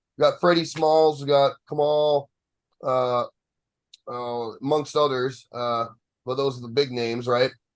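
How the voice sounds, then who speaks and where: The delivery is fairly slow, with fairly even intonation and long, frequent pauses. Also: man, fairly high pitch for a man. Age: younger than 63. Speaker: bodybuilding podcast host. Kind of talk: casual chat. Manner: halting.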